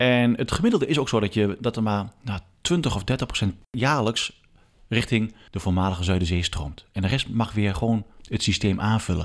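A man's normal speaking voice, fairly low in pitch, at a moderate pace with ordinary pitch variation, on a very clean recording with a silent background. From Achterhoek, eastern Netherlands. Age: 40s. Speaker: water authority advisor and stream specialist. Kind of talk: casual interview. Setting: at a kitchen table in his home.

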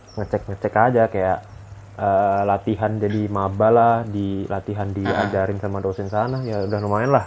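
Speaking at a fairly quick pace, a man keeps a monotone, flat intonation at a fairly low pitch. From East Java, Ponorogo. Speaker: podcast guest. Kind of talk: casual chat.

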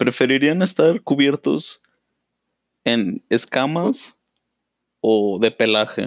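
A man with a medium pitch speaks very slowly, his pitch swinging very widely between long, frequent pauses, in a dry, close sound with no echo. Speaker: podcast co-host. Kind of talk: casual chat.

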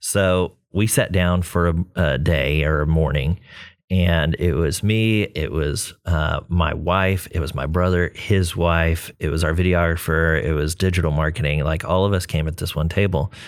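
Speaking with an American accent, a man with a very deep, low pitch keeps a fairly slow pace with hardly any pauses. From Texas, Corpus Christi. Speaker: creative agency CEO. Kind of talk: casual chat.

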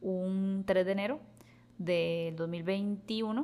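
A woman speaks at a medium pitch with a Costa Rican accent. Her pitch varies in an ordinary way. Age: 30s. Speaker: podcast host. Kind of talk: casual chat.

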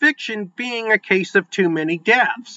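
With an American accent, a man speaks at a fairly slow pace. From East Central Illinois. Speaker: podcast host and author. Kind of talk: scripted narration; interview.

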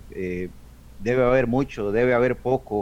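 In an unremarkable speaking voice, a man talks at a fairly slow pace with medium pitch and ordinary pitch variation. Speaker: aquarium hobbyist, association member. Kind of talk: radio talk show discussion.

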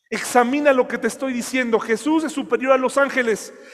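A man speaks with an extremely high pitch. His pace is fairly slow and his intonation fairly even. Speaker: pastor. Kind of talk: sermon.

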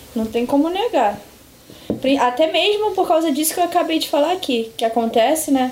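A high-pitched woman speaks at a moderate pace with very wide pitch swings. Noticeable background noise runs underneath. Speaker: psychologist. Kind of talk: casual chat.

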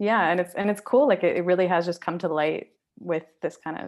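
A woman in a Canadian accent speaks with an unremarkable speaking voice at a fairly low pitch and moderate pace. Her pitch varies in an ordinary way over a quiet background. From Canada, Surrey, British Columbia. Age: 20s. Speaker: photographer and small business owner. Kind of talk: casual interview.

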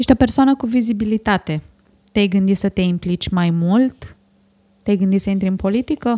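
A woman's somewhat breathy, dark and mellow voice at medium pitch, fairly quick in pace, with ordinary pitch variation and a dry, close sound with no echo. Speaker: podcast host. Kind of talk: interview.

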